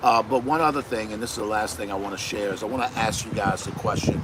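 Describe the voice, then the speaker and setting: A man's fairly low voice with an American accent at a very fast pace, over noticeable background noise. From US Northeast. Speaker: podcast co-host. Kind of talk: casual chat. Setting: live stream.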